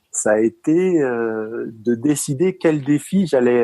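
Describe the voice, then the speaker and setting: Heard in a dry, close sound with no echo, a man with a Parisian accent speaks in a dark, mellow tone with lively intonation. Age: 40s. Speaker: retired taekwondo athlete. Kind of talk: interview. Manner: halting, many fillers.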